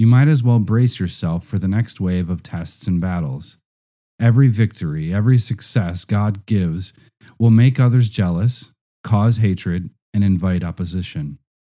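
Over a very clean recording with a silent background, a man with a fairly low pitch and a dark, mellow tone speaks at a moderate pace with ordinary pitch variation. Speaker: audiobook narrator. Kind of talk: reading aloud, audiobook narration.

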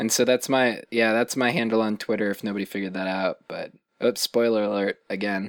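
At a fairly quick pace, a plain, everyday voice speaks with fairly even intonation. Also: man, medium pitch for a man, dry, close sound with no echo. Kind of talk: casual chat. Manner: joking.

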